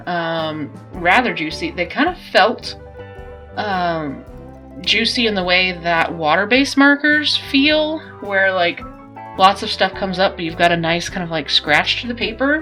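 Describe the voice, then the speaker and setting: Music in the background behind a woman's medium-pitched voice, very wide pitch swings and a fairly slow pace. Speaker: artist reviewing art supplies. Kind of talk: casual talk to camera.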